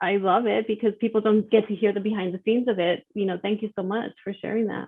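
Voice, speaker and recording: At a very fast pace, a woman with an American accent speaks at medium pitch in a monotone, flat intonation. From Texas, El Paso. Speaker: author and children's speaker. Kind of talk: podcast interview.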